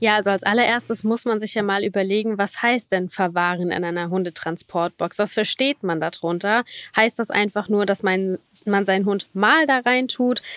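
This woman has an ordinary speaking voice, medium in pitch with ordinary pitch variation, at a moderate pace. The sound is dry and close, with no echo. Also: hardly any pauses. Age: 30s. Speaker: lawyer specialising in animal law. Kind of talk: interview.

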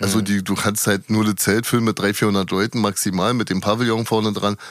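Talking at a fairly quick pace, a man with a fairly low pitch has a plain, everyday voice. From Berlin, Prenzlauer Berg. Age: 40s. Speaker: nightclub security worker and stage rigger. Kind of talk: interview.

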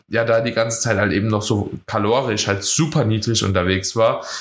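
This is a plain, everyday voice at a moderate pace with fairly even intonation. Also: man. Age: 20s. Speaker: podcast host and bodybuilding coach. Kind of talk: casual chat.

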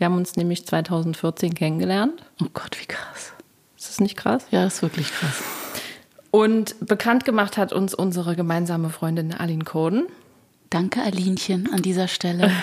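A woman speaks in an unremarkable speaking voice at medium pitch. Her pace is moderate and her pitch variation ordinary. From Thuringia, eastern Germany. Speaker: podcast host, singer-songwriter. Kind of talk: interview chat.

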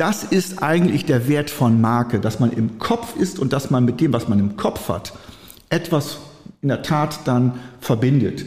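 With very even loudness, a man with a fairly high voice speaks fairly slowly and with lively intonation over noticeable background noise. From northwestern Germany, Friesoythe area (Oldenburger Münsterland). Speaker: trademark and patent attorney. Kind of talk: interview.

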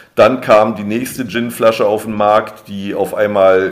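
Over noticeable background noise, a man with a fairly low voice talks at a fairly slow pace. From Berlin, Germany. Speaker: drinks brand ambassador, former bartender. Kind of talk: interview.

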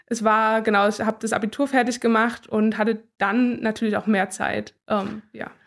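In a very clean recording with a silent background, a woman speaks at a fairly high pitch and a moderate pace, monotone and flat, with hardly any pauses. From Thuringia, Gera. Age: 20s. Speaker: speed skater. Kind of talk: interview.

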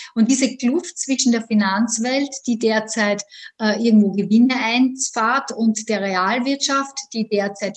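A woman's fairly high voice in an Austrian accent, very slow, with fairly even intonation. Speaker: economics lecturer. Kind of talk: interview. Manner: hesitant, many fillers.

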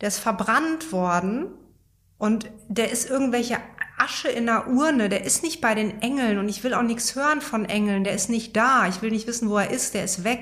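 A woman's normal speaking voice, a normal speaking voice, fairly high in pitch, with lively intonation and a moderate pace. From Germany, Münsterland. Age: 40s. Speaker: yoga teacher and couples therapist. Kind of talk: personal interview. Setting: in person at her place in Berlin.

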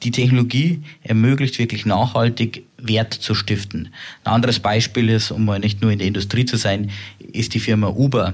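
A man speaks at a medium pitch with fairly even intonation and a somewhat breathy sound. The recording is very clean with a silent background. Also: moderate pace, very even loudness. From Upper Bavaria, Germany. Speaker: tech company co-CEO. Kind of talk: interview.

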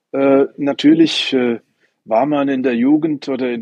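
A man speaks at a very slow pace with ordinary pitch variation. The sound is dry and close, with no echo. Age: 60s. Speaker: ninepin bowler and club president. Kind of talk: interview. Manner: repetitive, hesitant.

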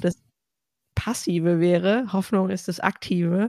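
Using a plain, everyday voice, a woman of medium pitch speaks with fairly even intonation. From Ostwestfalen, Germany. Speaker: podcast host. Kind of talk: casual chat.

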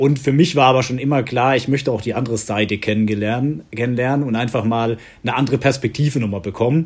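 At a fairly quick pace, a man with a normal speaking voice and medium pitch speaks with ordinary pitch variation on a very clean recording with a silent background. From Southern Palatinate, Germany. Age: 30s. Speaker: executive assistant at an insurer. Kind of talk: interview.

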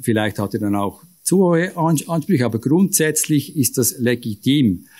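The man's tone is dark and mellow. He speaks at a moderate pace with lively intonation. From Switzerland, canton of Aargau. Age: 50s. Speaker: business executive and local politician. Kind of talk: panel discussion.

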